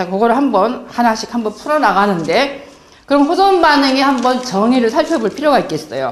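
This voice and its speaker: Amid noticeable background noise and audible room echo, a woman speaks at a high pitch that swings very widely. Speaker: health lecturer. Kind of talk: lecture.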